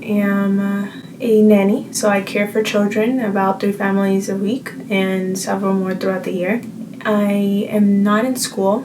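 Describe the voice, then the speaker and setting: In an American accent, a woman speaks with monotone, flat intonation over noticeable background noise and audible room echo. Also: medium pitch for a woman, fairly slow pace. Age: 20s. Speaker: vlogger. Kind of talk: casual chat.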